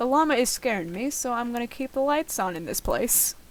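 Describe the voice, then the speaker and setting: Lively intonation in a high-pitched female voice. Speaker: gaming video creator. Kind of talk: gameplay commentary. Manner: voice raised and altered to be picked up.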